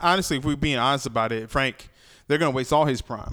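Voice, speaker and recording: A man talks at a very fast pace in an animated tone, with ordinary pitch variation. The recording is very clean, the background silent. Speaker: podcast host. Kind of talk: casual chat. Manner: animated, joking.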